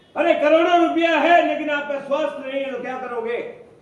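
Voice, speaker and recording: Over noticeable background noise and audible room echo, a man talks at an extremely high pitch with fairly even intonation. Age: 60s. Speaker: direct selling leader / motivational speaker. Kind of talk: motivational seminar talk.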